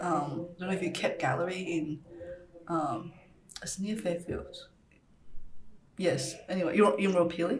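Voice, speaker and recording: A woman's fairly low voice with ordinary pitch variation, a moderate pace and long, frequent pauses, amid noticeable background noise and audible room echo. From Taiwan, moved to Australia as a child. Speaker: ceramic artist. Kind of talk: casual chat. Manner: hesitant, many fillers.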